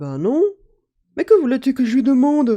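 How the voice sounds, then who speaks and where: The put-on character voice sits at a high pitch. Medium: read story. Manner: hesitant, easygoing.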